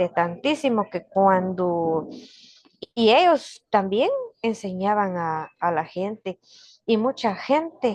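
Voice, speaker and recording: A woman speaks at a very slow pace with lively intonation and a medium pitch. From Guatemala, Kaqchikel Maya community. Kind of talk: interview. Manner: halting.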